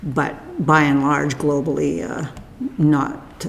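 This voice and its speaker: Very slow speech over noticeable background noise. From Canada. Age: 70s. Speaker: oral history interviewee. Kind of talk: oral history interview.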